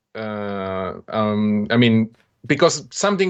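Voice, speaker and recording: A man with an Italian accent against a quiet background. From Italy. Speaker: software developer, stream co-host. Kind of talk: casual chat. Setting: live stream. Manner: halting.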